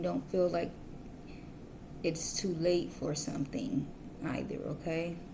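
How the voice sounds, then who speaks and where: Audible room echo around a woman's fairly low-pitched voice, unhurried at a fairly slow pace. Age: adult, parent. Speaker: tarot reader. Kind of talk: tarot reading. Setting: at home, kids asleep. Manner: whispering.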